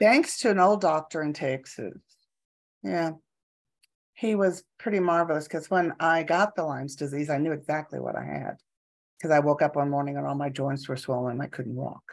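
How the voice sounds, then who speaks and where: A woman with a very deep, low pitch speaks with ordinary pitch variation against a quiet background. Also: moderate pace. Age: 70s. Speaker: energy kinesiologist and equine massage therapist. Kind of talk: casual interview chat.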